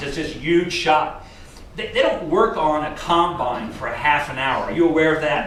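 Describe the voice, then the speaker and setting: In an animated tone, a man with an American accent talks at a moderate pace and a fairly high pitch, with noticeable background noise and audible room echo. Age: 60s. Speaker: business consultant for equipment dealers. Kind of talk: seminar talk to a live audience. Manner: animated, conversational with audience questions.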